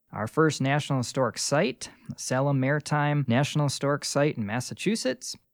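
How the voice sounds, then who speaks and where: A man with a fairly high pitch speaks at a fairly quick pace in an unremarkable speaking voice, with ordinary pitch variation and a dry, close sound with no echo. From New York State, Rochester. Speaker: park ranger. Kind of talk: casual educational interview. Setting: makeshift studio.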